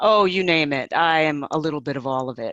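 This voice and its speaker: Lively intonation from a woman's very deep, low voice with a New York accent. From New York City. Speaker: change management professional and coach. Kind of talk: panel talk. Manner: direct.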